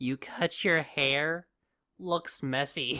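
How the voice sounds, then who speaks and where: A put-on character voice at a low-to-middle pitch in a very clean recording with a silent background. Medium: audio drama. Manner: taunting, theatrical, smug.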